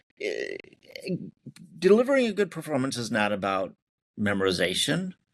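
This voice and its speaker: A man talks at a fairly high pitch. His pitch swings very widely. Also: moderate pace. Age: 60s. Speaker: theatre and film writer-director. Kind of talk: interview. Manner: halting.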